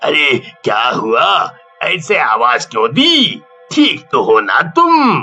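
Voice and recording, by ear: A man performs a cartoonish character voice at a very slow pace while faint music plays in the background.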